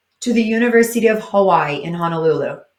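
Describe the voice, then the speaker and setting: A woman with a Canadian accent at a medium pitch and moderate pace, ordinary pitch variation, and audible room echo. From northern Canada (British Columbia area). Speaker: motivational speaker. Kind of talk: keynote talk.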